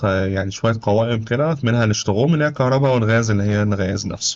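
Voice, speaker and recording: A man rattles along at a very fast pace, his pitch medium and its variation ordinary. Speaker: YouTuber giving advice on life in Germany. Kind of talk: tutorial. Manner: casual, conversational.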